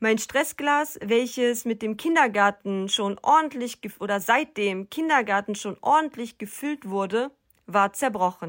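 In an unremarkable speaking voice, a woman talks with a fairly high pitch, lively intonation and a fairly slow pace, in a dry, close sound with no echo on a very clean recording with a silent background. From North Rhine-Westphalia, Germany (rural). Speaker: psychotherapy practitioner and podcaster. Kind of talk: personal monologue podcast.

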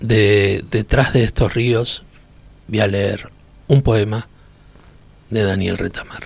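Long, frequent pauses break up very slow speech delivered with fairly even intonation. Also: man, fairly low pitch for a man. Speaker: podcast reader. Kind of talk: poetry reading, intimate and literary. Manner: slow, contemplative, measured with pauses.

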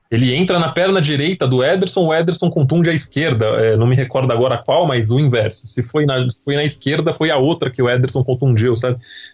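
Against noticeable background noise, a man speaks fairly quickly at a medium pitch, with ordinary pitch variation and very even loudness. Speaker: football podcast host. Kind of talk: casual chat. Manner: talkative.

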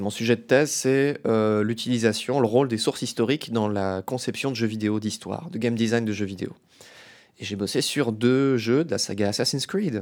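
This man has a plain, everyday voice at medium pitch. He talks at a moderate pace with ordinary pitch variation. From France, Metz (Lorraine). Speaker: doctoral student and podcast host. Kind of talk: casual interview.

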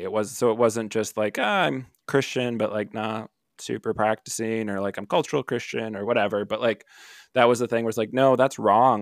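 A man with an American accent and a plain, everyday voice speaks at a moderate pace with a fairly low pitch and fairly even intonation, recorded very cleanly with a silent background and a dry, close sound with no echo. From Milwaukee, Wisconsin. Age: 30s. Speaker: marriage and family therapist. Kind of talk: podcast interview. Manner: casual, many fillers.

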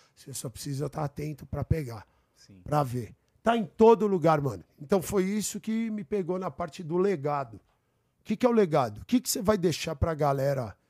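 A man's fairly high voice with a dark, mellow tone and very wide pitch swings, at a moderate pace in a very clean recording with a silent background. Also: dry, close sound with no echo. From São Paulo, Brazil. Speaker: guest. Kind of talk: casual chat. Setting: studio.

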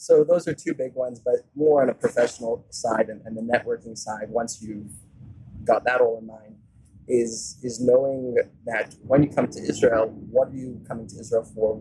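A man's normal speaking voice, medium in pitch, fairly even in intonation, at a moderate pace, with big swings in loudness. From US South (Atlanta, Georgia), born in South Africa. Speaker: tech entrepreneur. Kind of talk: interview. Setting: in person.

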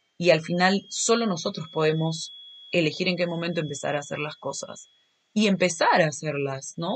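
Somewhat breathy and animated, a woman talks at a moderate pace with lively intonation. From Peru, Lima. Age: 20s. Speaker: podcast host. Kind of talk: casual monologue.

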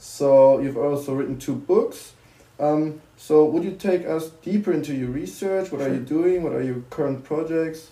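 With a German accent, a man speaks at a moderate pace in a fairly high pitch with ordinary pitch variation. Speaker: student podcast host. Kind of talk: interview.

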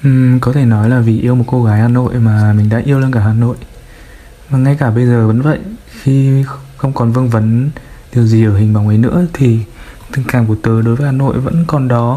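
Over noticeable background noise, a man talks at a moderate pace with long, frequent pauses, fairly even intonation and very even loudness. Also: medium pitch for a man. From Vinh, Nghe An, north-central Vietnam. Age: 20s. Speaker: listener sharing a personal story. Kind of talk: personal storytelling interview.

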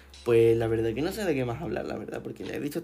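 A man talks at a medium pitch while noticeable background noise carries on. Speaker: podcast host. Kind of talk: casual solo monologue. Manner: animated.

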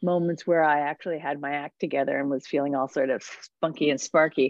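Speaking fairly quickly, a woman talks with an American accent. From New Jersey. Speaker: food writer and podcaster. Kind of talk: interview conversation. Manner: animated.

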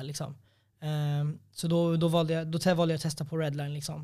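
The very clean recording has a silent background. A man with a dark, mellow tone and a fairly high pitch talks at a very fast pace with monotone, flat intonation. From Sweden, Norrtälje. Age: 20s. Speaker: MMA fighter. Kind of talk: casual chat.

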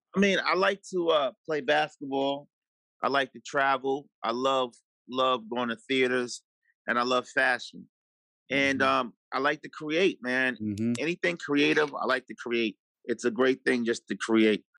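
Dry and close with no echo, the speech comes in a New York accent at a fairly slow pace with ordinary pitch variation. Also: man, medium pitch for a man. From New York City (Harlem and Far Rockaway, Queens). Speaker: TV executive producer. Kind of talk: casual interview.

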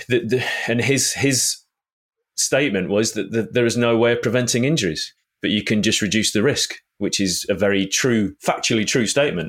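With an ordinary speaking voice, a man at medium pitch talks with lively intonation. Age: 40s. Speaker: trail running podcast co-host. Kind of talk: casual chat. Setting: video call.

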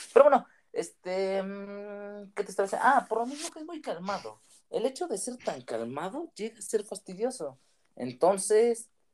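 At a moderate pace, a man with a high voice speaks with very wide pitch swings, big shifts in loudness, and long, frequent pauses. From Michoacán, Mexico (small town). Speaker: guest friend. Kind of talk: casual chat.

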